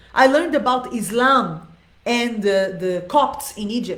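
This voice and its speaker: In a room with audible echo, a woman speaks in a high voice, her tone animated and her intonation lively. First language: not Arabic, not English. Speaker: dance teacher. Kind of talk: live Q&A monologue. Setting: live video stream.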